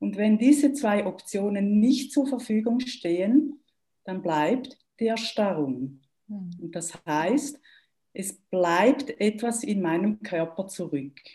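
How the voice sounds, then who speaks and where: A woman with a Swiss German accent speaks at a very slow pace in a medium-pitched, dark, mellow, somewhat breathy voice with very wide pitch swings. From German-speaking Switzerland. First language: Swiss German (speaking German). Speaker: trauma therapist. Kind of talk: interview.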